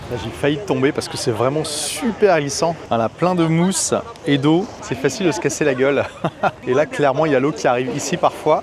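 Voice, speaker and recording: Fairly high-pitched man at a fairly quick pace over noticeable background noise. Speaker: travel vlogger. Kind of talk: travel vlog narration. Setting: outdoors by the sea. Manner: animated.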